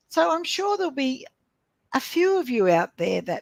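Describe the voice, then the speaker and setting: The sound is dry and close with no echo. A woman speaks at a fairly slow pace with very wide pitch swings. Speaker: business coach. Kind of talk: casual interview conversation. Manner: relaxed, laid back.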